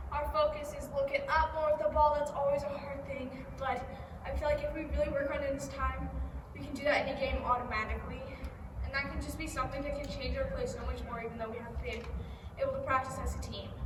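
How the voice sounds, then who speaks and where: Speaking at a very fast pace, a woman is heard with audible room echo. Noticeable background noise runs underneath. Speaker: youth soccer coach. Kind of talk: tutorial. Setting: outdoors.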